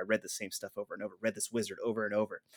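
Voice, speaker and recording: A man with an American accent, dry, close sound with no echo, and a very clean recording with a silent background. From northern California. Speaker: podcast co-host. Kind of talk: casual chat.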